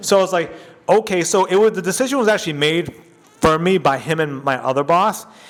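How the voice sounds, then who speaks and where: A man's very fast, high-pitched speech with ordinary pitch variation, very even loudness, and noticeable background noise. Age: 40s. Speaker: radio personality and podcaster. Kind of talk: casual interview chat. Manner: conversational, many fillers.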